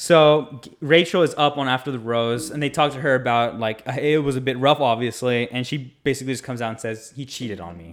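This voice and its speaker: The man has an unremarkable speaking voice at a medium pitch, with ordinary pitch variation. He talks at a fairly quick pace with hardly any pauses, his loudness swinging widely. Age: 20s. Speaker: podcast co-host. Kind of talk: casual chat.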